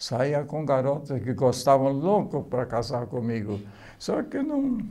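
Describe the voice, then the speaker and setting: With a dark, mellow tone, a man speaks very slowly at a fairly high pitch, using ordinary pitch variation. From Poland. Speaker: oral history interviewee. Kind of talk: life story testimony. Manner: halting.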